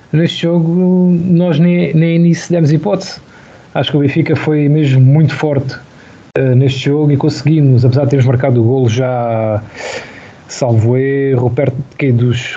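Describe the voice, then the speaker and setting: A man's speech comes at a moderate pace, with audible room echo and noticeable background noise behind it. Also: fairly high pitch for a man, ordinary pitch variation. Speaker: football podcast co-host. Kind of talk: casual chat.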